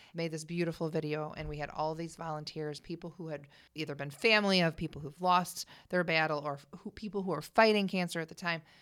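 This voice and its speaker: A woman with an American accent speaks in a plain, everyday voice at a fairly quick pace, her pitch fairly low and her intonation fairly even, on a very clean recording with a silent background. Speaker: singer. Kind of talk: casual chat. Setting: studio.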